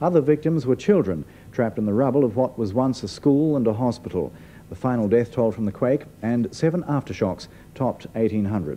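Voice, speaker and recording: A man at medium pitch with a dark, mellow tone and lively intonation, at a fairly quick pace over light background noise. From New Zealand. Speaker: news presenter. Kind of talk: 1980s TV news narration, formal and measured, read as a year-in-review voiceover. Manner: formal, authoritative, steady and brisk. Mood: serious, measured. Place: studio.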